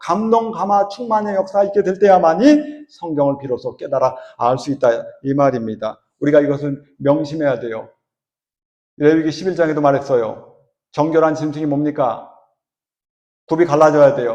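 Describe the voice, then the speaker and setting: Speaking at a moderate pace with long, frequent pauses, a man uses a fairly high pitch and lively intonation. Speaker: church elder preaching. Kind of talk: sermon.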